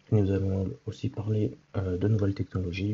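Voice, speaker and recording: A man with a very deep, low pitch sounds somewhat breathy, his intonation fairly even. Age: 20s. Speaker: podcast host. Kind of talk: solo podcast introduction. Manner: hesitant, many fillers.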